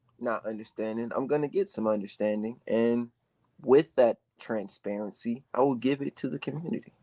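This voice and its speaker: Dry and close with no echo, a man's dark, mellow, medium-pitched voice moves at a moderate pace with ordinary pitch variation. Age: 20s. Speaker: political candidate. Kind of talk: interview. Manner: animated.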